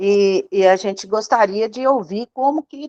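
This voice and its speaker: A woman talks in an unremarkable speaking voice with ordinary pitch variation. The sound is dry and close, with no echo. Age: 60s. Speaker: audience member asking a question. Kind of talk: question to a lecturer.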